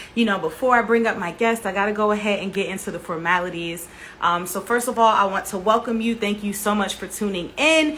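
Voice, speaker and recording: Ordinary pitch variation runs through an ordinary speaking voice. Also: woman. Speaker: interviewer / host. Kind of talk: live stream interview hosting.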